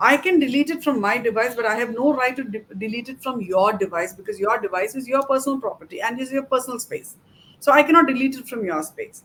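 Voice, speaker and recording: The delivery comes at a very fast pace, with lively intonation and big swings in loudness. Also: woman, high pitch for a woman. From South India. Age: middle-aged. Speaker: cybercrime investigator. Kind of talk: interview. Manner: halting.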